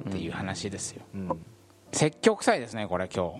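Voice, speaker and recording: This man has a normal speaking voice. His pace is fairly quick and his intonation lively. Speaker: podcast host. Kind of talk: casual chat.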